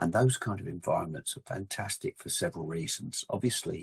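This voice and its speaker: A man with an English accent speaks at a fairly quick pace in a fairly low, somewhat breathy voice with ordinary pitch variation, recorded dry and close with no echo. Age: 60s. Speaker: outdoor equipment company representative and hunter. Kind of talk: casual chat.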